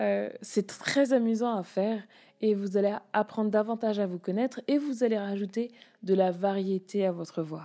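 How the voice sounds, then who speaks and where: Her voice dark and mellow, a woman speaks at a fairly high pitch with ordinary pitch variation. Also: very clean recording, silent background. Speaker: public speaking coach. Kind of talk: solo podcast tutorial.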